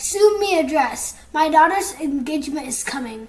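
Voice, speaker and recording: A raspy, put-on character voice carries lively intonation. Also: woman, high pitch for a woman, moderate pace. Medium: read story. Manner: commanding.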